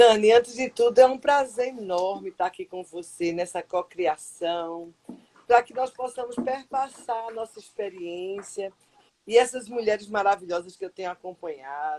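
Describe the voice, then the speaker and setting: Fairly high-pitched and dark, mellow in tone, a woman speaks at a fairly slow pace with lively intonation and big swings in loudness. The sound is dry and close, with no echo. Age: 60s. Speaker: psychologist. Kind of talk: live stream interview. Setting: online live stream.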